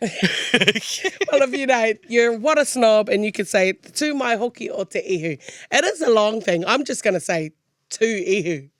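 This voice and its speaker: Speaking at a fairly slow pace, a woman with a fairly high pitch lets it swing very widely. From New Zealand, Māori. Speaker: podcast host. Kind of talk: casual podcast conversation.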